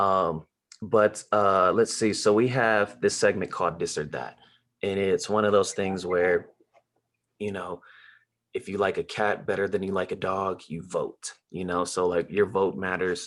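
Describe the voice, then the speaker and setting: This man has an ordinary speaking voice with an American accent, fairly low in pitch. He speaks at a fairly slow pace with fairly even intonation, on a very clean recording with a silent background. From Los Angeles. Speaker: podcast host. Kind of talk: casual chat.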